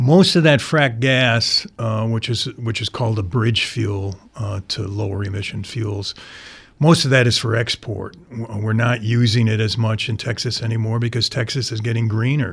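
A somewhat breathy man speaks at a moderate pace with medium pitch and fairly even intonation. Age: 60s. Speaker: newspaper staff writer. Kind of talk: radio interview. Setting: studio. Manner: halting.

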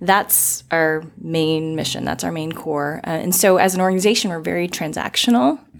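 The speaker has an American accent and ordinary pitch variation. The pace is moderate, with noticeable background noise. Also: woman, fairly low pitch for a woman. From US South, Florida. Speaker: economic development executive. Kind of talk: podcast interview.

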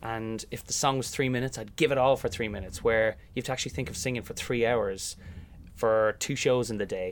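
On a very clean recording with a silent background, a man with an Irish accent talks at a fairly quick pace with fairly even intonation. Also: medium pitch for a man. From Ireland, County Meath. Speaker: musical theatre actor. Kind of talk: interview. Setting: sound booth above theatre stage.

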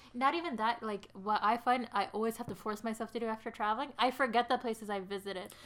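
Over noticeable background noise, a woman talks at a very fast pace with hardly any pauses, her fairly high pitch held in fairly even intonation. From Sri Lanka. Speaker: podcast co-host. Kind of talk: casual chat.

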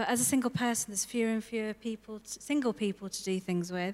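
A woman speaks with a fairly high pitch and ordinary pitch variation. Her pace is moderate. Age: 30s. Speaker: social worker. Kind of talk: testimony in church interview. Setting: church service with audience. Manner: halting, many fillers.

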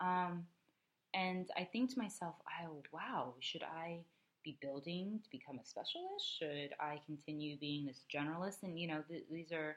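A woman speaks at a moderate pace with ordinary pitch variation and big swings in loudness. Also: fairly low pitch for a woman. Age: 20s. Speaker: podcast co-host. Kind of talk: casual chat. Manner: animated.

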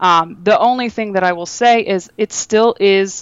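A woman with a Midwestern American accent speaks with ordinary pitch variation. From Northwest Ohio (Toledo). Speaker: UX design director. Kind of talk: casual interview.

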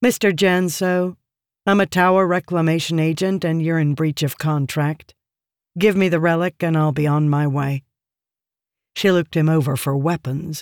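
In an ordinary speaking voice, a woman with a fairly low pitch and ordinary pitch variation talks at a moderate pace, dry and close with no echo, on a very clean recording with a silent background. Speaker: audiobook narrator. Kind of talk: dramatic fantasy audiobook narration, reading aloud with character voices. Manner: tense, brooding, measured storytelling pace; shifts to a cold, curt tone for Elitza's dialogue.

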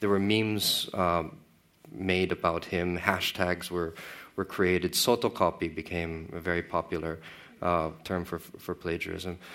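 With fairly even intonation, a man speaks at a fairly slow pace in a very deep, low pitch. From Philippines. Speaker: writer. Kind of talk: panel discussion. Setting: stage with audience.

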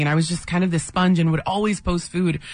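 This woman's voice sits fairly low and sounds somewhat breathy. She talks at a very fast pace. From San Diego, National City, California. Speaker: chef. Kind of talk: radio interview.

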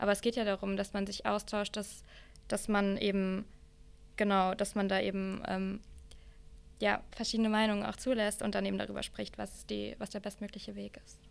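Pausing long and often, a woman speaks at a moderate pace with big swings in loudness. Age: 20s. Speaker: climate activist and student. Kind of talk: debate.

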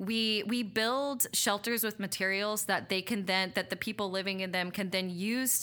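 Her medium-pitched voice has a bright, sharp tone, and the woman keeps a moderate pace with fairly even intonation. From Louisiana, Abbeville (Acadiana). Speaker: charity community engagement manager. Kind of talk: interview. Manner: casual, filler-heavy (um, like).

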